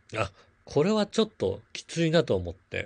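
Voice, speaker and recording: Against a quiet background, a man's somewhat breathy voice makes very wide pitch swings. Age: 40s. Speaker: podcast host and blogger. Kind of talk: casual solo talk. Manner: filler-heavy, relaxed.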